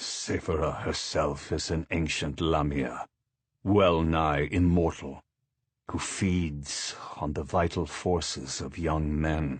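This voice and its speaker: A man's put-on character voice, very deep and low, with hissing, fairly even intonation and a fairly slow pace. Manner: hissing undertone; ominous.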